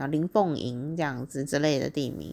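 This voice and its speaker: A woman speaks with a Taiwanese accent in an animated tone. The recording is very clean, with a silent background. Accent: Taiwanese Mandarin. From Taiwan, Taichung. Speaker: podcast host. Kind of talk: solo diary-style monologue. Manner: animated, frequent laughter and fillers.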